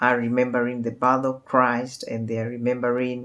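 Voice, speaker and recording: A woman with a very deep, low pitch speaks on a very clean recording with a silent background. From Kenya. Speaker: counselor. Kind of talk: talk. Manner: hesitant, many fillers.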